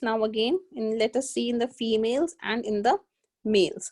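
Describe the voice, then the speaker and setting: A woman speaks with an Indian accent. The sound is dry and close, with no echo. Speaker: biology tutor. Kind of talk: online lecture. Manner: slow.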